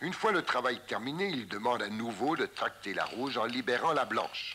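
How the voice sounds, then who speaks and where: In an unremarkable speaking voice, a man talks at a fairly slow pace and a medium pitch, with ordinary pitch variation. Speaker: mountaineering instructor narrating. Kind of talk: 1958 documentary film narration, voice-over explaining climbing technique. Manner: calm, didactic, measured and formal; clear step-by-step instructional delivery, even pace.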